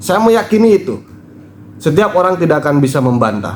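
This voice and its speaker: A man speaks with a West Javanese accent and very wide pitch swings. Audible room echo and noticeable background noise fill the recording. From West Java, Indonesia (Sundanese). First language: Sundanese (speaking Indonesian). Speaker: commentator on Sundanese culture and spirituality. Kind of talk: video commentary monologue.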